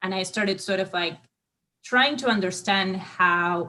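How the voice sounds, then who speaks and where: A woman speaks at a medium pitch with ordinary pitch variation. Her tone is bright and sharp. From Argentina. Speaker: political science researcher. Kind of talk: interview. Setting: live online stream. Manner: halting, many fillers.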